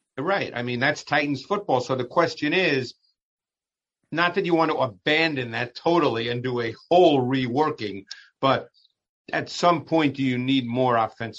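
A man's fairly high voice at a moderate pace, with ordinary pitch variation and an unremarkable speaking voice. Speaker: football analyst. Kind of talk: casual chat.

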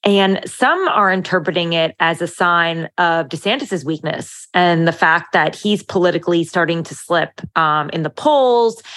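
With an unremarkable speaking voice and an American accent, a woman of fairly low pitch talks at a fairly slow pace with ordinary pitch variation and hardly any pauses. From Italian American. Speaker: political journalist. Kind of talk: casual chat.

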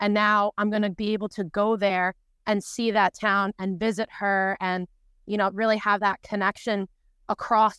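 A woman of medium pitch speaks at a moderate pace in a New York accent with monotone, flat intonation, in a dry, close sound with no echo. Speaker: conference attendee. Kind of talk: casual chat. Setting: video call.

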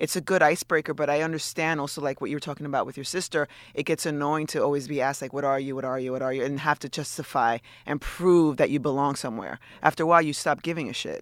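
Very fast and fairly high-pitched, a man talks with fairly even intonation, the sound dry and close with no echo on a very clean recording with a silent background. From US, Dominican-American. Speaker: podcast guest. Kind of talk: casual chat. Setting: studio.

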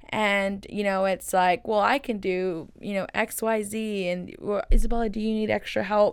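A woman with an American accent at medium pitch and a moderate pace, with fairly even intonation and hardly any pauses, on a very clean recording over a silent background. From Texas, Waco. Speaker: entrepreneur and college student. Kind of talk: interview.

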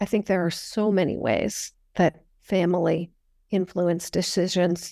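A woman with a General American accent and an unremarkable speaking voice, fairly low in pitch, with fairly even intonation and a fairly slow pace, in a very clean recording over a silent background. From US, Northern California. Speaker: history professor. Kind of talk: interview.

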